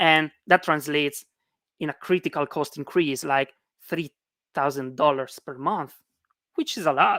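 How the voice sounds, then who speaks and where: A woman with a non-native accent speaks in a bright, sharp tone, the sound dry and close with no echo. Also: very clean recording, silent background. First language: not English. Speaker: conference speaker. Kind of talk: technical talk. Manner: hesitant, many fillers.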